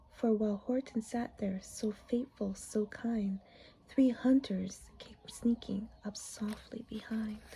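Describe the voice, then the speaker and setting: Very slow speech in a calm, gentle tone over noticeable background noise. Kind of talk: ASMR bedtime story reading. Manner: soft, calm, gentle reading.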